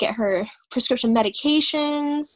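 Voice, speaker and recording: A woman's voice with ordinary pitch variation. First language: Vietnamese. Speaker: interviewee. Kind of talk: interview. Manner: halting, many fillers.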